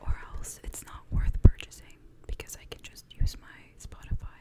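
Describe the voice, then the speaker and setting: Noticeable background noise is present throughout. A woman whispers at a moderate pace. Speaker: ASMR channel host. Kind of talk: ASMR show and tell.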